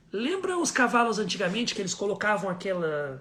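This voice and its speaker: Words come very fast while noticeable noise runs in the background. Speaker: first aid instructor. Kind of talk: live online class. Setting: live stream.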